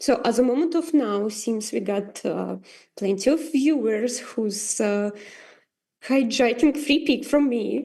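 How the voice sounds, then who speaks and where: Against a quiet background, a woman with a non-native accent speaks fairly slowly in a high, dark, mellow voice with ordinary pitch variation. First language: not English. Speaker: AI artist. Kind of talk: tutorial. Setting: livestream. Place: home room. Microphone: video call.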